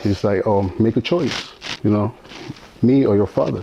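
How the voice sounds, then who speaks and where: A man's fairly low, dark, mellow voice with an American accent at a moderate pace. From Mexico, Durango. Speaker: interview guest sharing life story. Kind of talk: interview testimony. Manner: halting, many fillers and repetitions.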